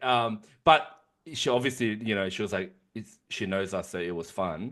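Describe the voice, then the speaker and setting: A man with an Australian accent over a quiet background. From Sydney, Australia (Canterbury-Bankstown), Korean-Australian. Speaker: podcast co-host. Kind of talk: casual chat. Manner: fast; animated.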